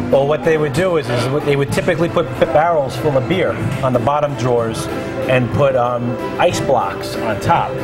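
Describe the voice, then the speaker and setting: A man at a fairly quick pace over loud music in the background. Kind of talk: interview answer. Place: bar.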